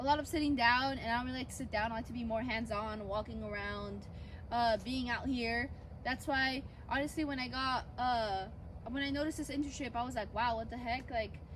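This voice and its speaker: Audible room echo follows a woman's high-pitched voice as she talks at a fairly quick pace with fairly even intonation. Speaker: student intern vlogger. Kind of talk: casual vlog tutorial. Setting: outdoors in orchards.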